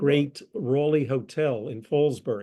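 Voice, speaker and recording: Speaking with an American accent, a man has a dark, mellow tone and a fairly high pitch. His pace is very slow, with ordinary pitch variation. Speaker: presenter, retired lawyer. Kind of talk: lecture presentation.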